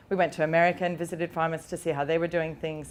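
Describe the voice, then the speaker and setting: Speaking very fast, a woman with an Australian accent has a fairly low pitch. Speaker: pig farmer and butcher, former academic. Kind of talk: conference talk. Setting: stage with audience. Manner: loud.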